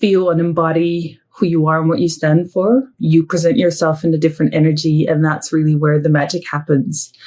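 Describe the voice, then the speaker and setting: At a moderate pace, speech in a dark, mellow tone keeps fairly even intonation. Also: woman. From southern Netherlands. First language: Dutch. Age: 40s. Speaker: entrepreneur. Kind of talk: interview. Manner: hesitant, with fillers.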